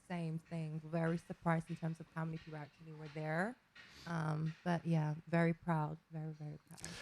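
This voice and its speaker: A soft-spoken woman with a fairly low pitch talks at a moderate pace in a flat, monotone intonation. Her loudness swings widely. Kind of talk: radio interview. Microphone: sounds quiet.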